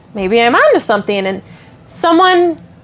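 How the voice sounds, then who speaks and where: With a strong Wisconsin accent, a woman speaks at a moderate pace in a high pitch over noticeable background noise. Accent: thick Wisconsin. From Wisconsin, Milwaukee area. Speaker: social media creator. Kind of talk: podcast interview. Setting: on location at a venue.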